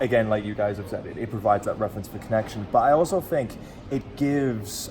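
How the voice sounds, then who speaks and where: Over music in the background, a man talks at a fairly quick pace in a fairly low voice. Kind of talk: casual chat.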